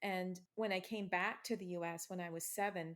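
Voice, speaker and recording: An ordinary speaking voice with an American accent. The intonation stays fairly even at a moderate pace. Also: woman. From US Midwest, Ohio. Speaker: author. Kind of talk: interview.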